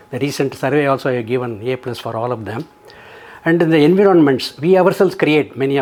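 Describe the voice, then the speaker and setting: Noticeable background noise sits behind a man whose pitch is fairly high, with ordinary variation. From South India. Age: 80s+. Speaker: retired engineer, senior living resident. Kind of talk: testimonial interview. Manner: halting.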